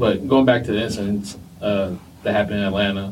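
With an American accent, a man with a plain, everyday voice speaks fairly quickly at a fairly low pitch. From New Jersey, Vietnamese heritage.

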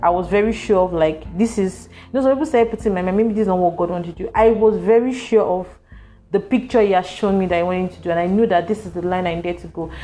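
A woman talks at a very fast pace with ordinary pitch variation and big swings in loudness. Music plays in the background. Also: medium pitch for a woman. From Nigeria, Lagos. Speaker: podcast host telling own story. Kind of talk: personal storytelling monologue.

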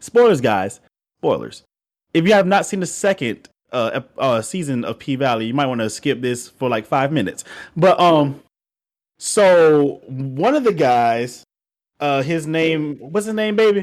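On a very clean recording with a silent background, a man with a fairly high pitch speaks at a fairly slow pace with very wide pitch swings. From Georgia, US South. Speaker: podcast co-host. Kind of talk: casual chat.

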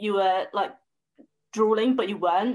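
The speaker talks at a moderate pace in a southern English accent. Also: woman. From southern England. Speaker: food blogger. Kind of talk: casual chat.

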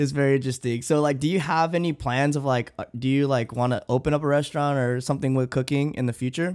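Rushing at a very fast pace with hardly any pauses, a man speaks at a fairly high pitch with fairly even intonation and very even loudness. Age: 30s. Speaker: podcast host. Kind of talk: casual chat.

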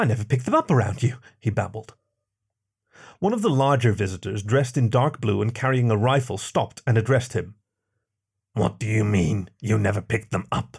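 Somewhat breathy and dramatic, a man at a medium pitch talks at a fairly quick pace with ordinary pitch variation and long, frequent pauses, recorded very cleanly against a silent background. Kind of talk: sci-fi audiobook narration.

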